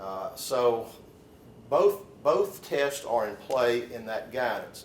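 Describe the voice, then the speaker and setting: Over noticeable background noise and audible room echo, a man with a Southern US accent speaks very slowly at medium pitch, with lively intonation and big swings in loudness. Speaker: lawyer. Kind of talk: lecture. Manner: halting, with fillers and repeats.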